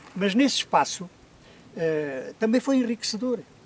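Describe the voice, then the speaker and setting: A man speaks over noticeable background noise. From Portugal, Alegrete (Alto Alentejo). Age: 80s+. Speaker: interviewee, former muleteer. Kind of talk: life story interview. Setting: outdoors in the hills. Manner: halting, repetitive.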